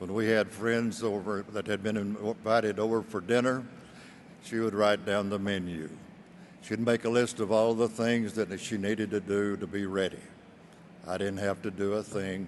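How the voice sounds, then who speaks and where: Delivered at a moderate pace, the speech has monotone, flat intonation. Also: man, fairly low pitch for a man. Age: 80s+. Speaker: widower and insurance client. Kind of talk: testimonial speech.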